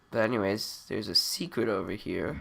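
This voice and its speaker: Speaking at a fairly slow pace, a man has a bright, sharp tone with vocal fry. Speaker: gaming video creator. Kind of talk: let's play commentary. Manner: halting.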